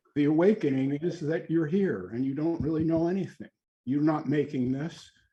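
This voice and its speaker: A man speaks with a fairly high pitch and ordinary pitch variation. His tone is dark and mellow, and somewhat breathy. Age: 70s. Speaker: author and spiritual teacher. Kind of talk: group discussion.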